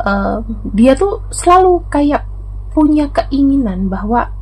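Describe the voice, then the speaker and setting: At a fairly slow pace, a woman talks with lively intonation. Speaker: tarot reader. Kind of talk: general tarot reading narration. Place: home room.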